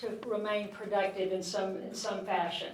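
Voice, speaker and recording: A woman speaks at a moderate pace. There is noticeable background noise and audible room echo. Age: 60s. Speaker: physician giving a health talk. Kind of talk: public health talk. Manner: animated.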